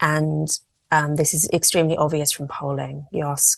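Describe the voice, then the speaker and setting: A woman with an English accent speaks with a very deep, low voice and vocal fry. The sound is dry and close, with no echo. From England. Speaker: journalist and campaigner. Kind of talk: podcast interview.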